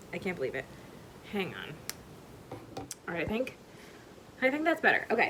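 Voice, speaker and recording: A woman's fairly high voice at a fairly quick pace, with very wide pitch swings, long, frequent pauses and noticeable background noise. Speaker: knitting vlogger. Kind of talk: casual vlog talk. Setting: at home. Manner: casual, filler-heavy.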